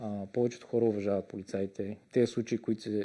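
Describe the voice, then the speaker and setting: Here a man talks at a moderate pace and fairly low pitch. His tone is dark and mellow, his intonation monotone and flat. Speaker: police detective. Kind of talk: interview. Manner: hesitant, filler sounds.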